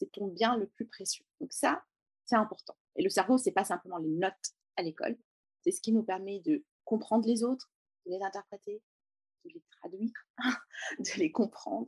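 At a moderate pace and a fairly high pitch, a somewhat breathy woman speaks with very wide pitch swings, big swings in loudness, and long, frequent pauses, all in a dry, close sound with no echo. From Lebanon, Beirut. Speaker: education founder and former teacher. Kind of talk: interview testimony.

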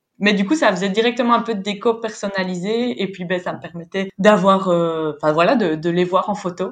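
A woman has a normal speaking voice at a medium pitch, talking at a moderate pace with ordinary pitch variation. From French-speaking Belgium. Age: 20s. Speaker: travel planner. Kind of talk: casual interview.

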